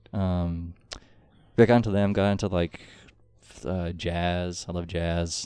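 A man with an American accent speaks at a fairly slow pace in a very deep, low pitch, with a dark, mellow tone, monotone, flat intonation and long, frequent pauses. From Oregon, US (Eugene). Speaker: musician. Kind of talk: casual chat. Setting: studio.

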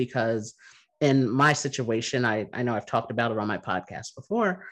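A man's medium-pitched, fairly bright voice with lively intonation at a moderate pace

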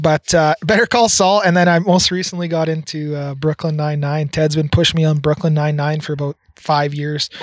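In an unremarkable speaking voice with a Canadian accent, a man talks at a fairly quick pace and a fairly high pitch, with hardly any pauses, fairly even intonation, and a dry, close sound with no echo. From Red Deer, Alberta, Canada. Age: 30s. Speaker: podcast co-host. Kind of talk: casual chat. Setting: outdoors on a deck.

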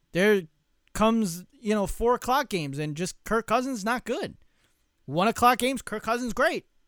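In a dry, close recording with no echo and a silent background, very clean throughout, a man speaks at a moderate pace with a high pitch and an animated tone. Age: 30s. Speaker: sports podcast host. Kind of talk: solo sports talk monologue. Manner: casual with many fillers.

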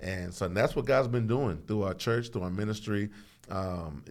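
A man with an American accent talks at a fairly quick pace. He has a plain, everyday voice, fairly low in pitch. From Houston, Texas. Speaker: pastor. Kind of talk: casual chat. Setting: studio.

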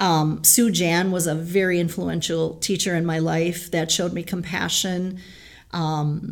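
There is audible room echo around a woman whose fairly low pitch holds a fairly even intonation. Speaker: middle school teacher. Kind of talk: interview.

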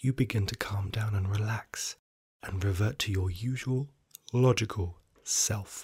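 Speaking at a fairly slow pace, a man with a fairly low, somewhat breathy voice keeps his intonation fairly even on a very clean recording with a silent background. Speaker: podcast storyteller. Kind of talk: ghost story telling, scripted narration in second person. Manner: slow, hushed and suspenseful, building dread.

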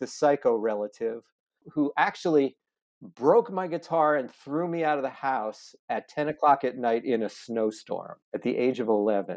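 Lively intonation marks this man's fairly high-pitched delivery in a plain, everyday voice. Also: quiet background. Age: 60s. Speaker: nonprofit founder. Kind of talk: interview.

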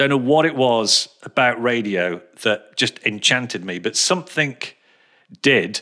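With a bright, sharp tone and lively intonation, a man speaks at a moderate pace and a medium pitch. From England, Birmingham. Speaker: radio presenter. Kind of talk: casual interview chat. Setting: video call.

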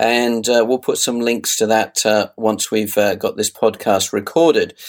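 In a British accent, a man speaks at a medium pitch and a moderate pace with ordinary pitch variation. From UK. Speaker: podcast host. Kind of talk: interview.

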